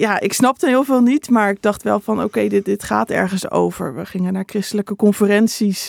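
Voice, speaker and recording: A normal speaking voice moves at a moderate pace, recorded dry and close with no echo. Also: woman. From Netherlands, Utrecht province (Bible Belt village). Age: 20s. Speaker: theology student and author. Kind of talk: interview.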